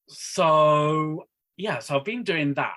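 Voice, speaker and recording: This is a man with a Northeast English accent. His pitch is fairly high. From northeast England, Darlington. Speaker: wedding celebrant and sign language interpreter. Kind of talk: casual chat.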